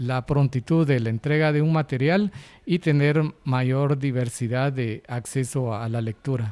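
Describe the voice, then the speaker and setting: Using a normal speaking voice, a man talks at a fairly slow pace and a fairly high pitch. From Guatemala. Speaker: coordinator of braille and audiobook production, blind. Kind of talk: interview. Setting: on location at a hospital. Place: office. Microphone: handheld.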